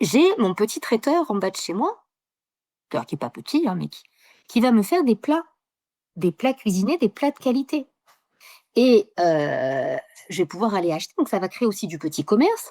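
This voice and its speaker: A woman's fairly high voice with a dark, mellow tone, very wide pitch swings, big swings in loudness and long, frequent pauses, in a dry, close sound with no echo on a very clean recording with a silent background. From southern France, Mediterranean. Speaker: geographer. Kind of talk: interview. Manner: fast, with many hesitations.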